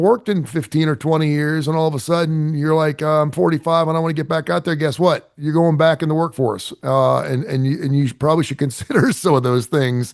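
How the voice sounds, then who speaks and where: A man with a normal speaking voice talks at a fairly quick pace and fairly high pitch, with ordinary pitch variation and hardly any pauses, against a quiet background. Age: 60s. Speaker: radio host. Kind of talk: casual chat.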